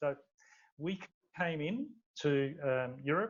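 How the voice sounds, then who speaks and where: Rather high pitch from a man with an Australian accent. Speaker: startup founder. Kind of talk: interview. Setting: podcast recording. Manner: halting, many fillers and repeats.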